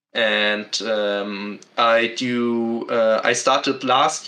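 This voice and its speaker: Bright and sharp in tone, a man with a German accent speaks at a medium pitch. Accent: German accent, non-native English. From Germany. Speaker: podcast guest, book reviewer. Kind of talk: casual chat. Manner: halting, many fillers.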